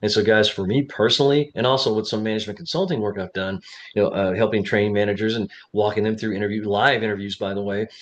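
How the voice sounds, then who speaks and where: A man at a very fast pace, fairly low in pitch, with fairly even intonation. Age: 60s. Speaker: job interview coach. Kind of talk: casual talk to camera. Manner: conversational, many fillers.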